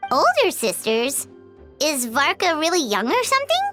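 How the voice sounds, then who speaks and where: A squeaky, put-on character voice, female-sounding and high-pitched, at a moderate pace over clear music in the background. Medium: fan dub. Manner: bubbly, blunt.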